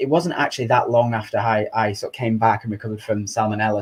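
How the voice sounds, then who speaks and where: A man talks at a very fast pace in a Lancashire accent. His pitch is medium and his voice somewhat breathy. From Chorley, Lancashire, England. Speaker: charity chief executive. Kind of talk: interview answer.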